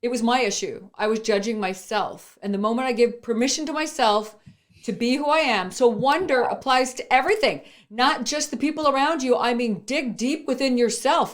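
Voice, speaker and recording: A woman speaks at a moderate pace. Her pitch is high, with ordinary variation. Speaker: entrepreneur and speaker. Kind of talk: motivational interview talk. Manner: loud; animated.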